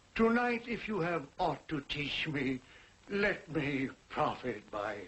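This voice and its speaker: This man uses a put-on character voice that is gruff and fairly high. He talks at a fairly slow pace with very wide pitch swings. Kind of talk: radio-style drama dialogue. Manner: gruff turning warm.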